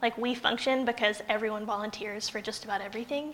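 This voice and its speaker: A woman with an American accent speaks at a fairly high pitch over noticeable background noise. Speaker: pastor. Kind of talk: sermon. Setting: church with congregation.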